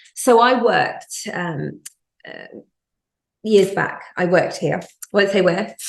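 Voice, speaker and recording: In a British accent, the speaker goes at a very slow pace with long, frequent pauses and big swings in loudness. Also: woman. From UK. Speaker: podcast host, magazine editor. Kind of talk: casual interview chat. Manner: animated storytelling.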